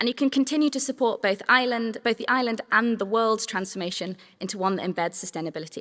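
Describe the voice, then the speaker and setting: A woman with a Manx accent, fairly high pitch and ordinary pitch variation, a very fast pace with hardly any pauses, on a very clean recording with a silent background. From Isle of Man. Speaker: sustainability trainer, social enterprise co-founder. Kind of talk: conference workshop talk.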